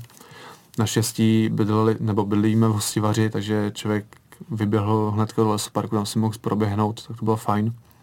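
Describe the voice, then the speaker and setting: The man talks in a flat monotone at a fairly low pitch. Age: 20s. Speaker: retired competitive swimmer. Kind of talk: radio interview. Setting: radio studio.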